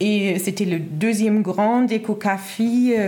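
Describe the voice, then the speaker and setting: A woman with a German accent and fairly even intonation, over noticeable background noise. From Germany. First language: German (speaking French). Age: 30s. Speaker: midwife. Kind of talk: interview. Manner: halting, many fillers.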